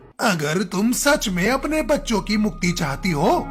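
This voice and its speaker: Amid clear background noise, a man does a cartoonish character voice, high-pitched and at a moderate pace. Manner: stern, authoritative.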